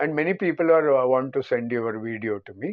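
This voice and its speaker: A man speaks at a moderate pace. His medium pitch carries lively intonation. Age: 60s. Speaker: film critic. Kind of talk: casual film review monologue. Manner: halting, frequent fillers.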